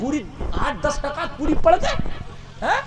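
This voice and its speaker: A man speaks over noticeable background noise. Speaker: Islamic preacher. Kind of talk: humorous religious sermon. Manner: animated, comedic, conversational. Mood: joking, playful. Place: stage. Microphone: handheld.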